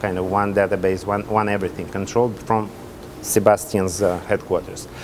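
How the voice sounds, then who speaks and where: Fairly quick, monotone, flat speech in a Russian accent over noticeable background noise. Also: man, fairly low pitch for a man. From Russia (Soviet Union). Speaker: hotel development executive. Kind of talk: interview. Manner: halting.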